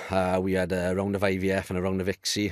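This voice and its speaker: With a Welsh accent, a man speaks in a very deep, low voice using monotone, flat intonation. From Wales, near Cardiff. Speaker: male fertility awareness advocate. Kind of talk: podcast conversation. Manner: halting, with frequent repetitions.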